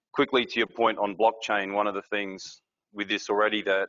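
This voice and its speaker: A man with an Australian accent talks at a fairly quick pace. His fairly low voice has monotone, flat intonation. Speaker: industry board member, conference speaker. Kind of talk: conference presentation.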